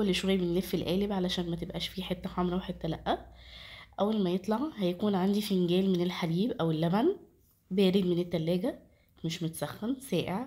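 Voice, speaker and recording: Recorded very cleanly against a silent background, a woman with an Egyptian accent speaks at a moderate pace and medium pitch, somewhat breathy, with fairly even intonation and a dark, mellow tone. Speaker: cooking channel host. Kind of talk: cooking tutorial.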